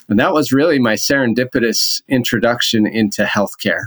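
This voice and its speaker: Here a man talks with a Utah accent. His pace is moderate and his pitch variation ordinary. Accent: American (Utah). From Utah (Orem). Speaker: healthcare executive. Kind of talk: interview.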